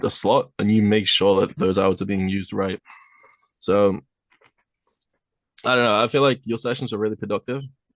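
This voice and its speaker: This man speaks with a British accent at a fairly quick pace. His pitch sits fairly low. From UK. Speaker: airsoft team captain. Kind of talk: casual chat.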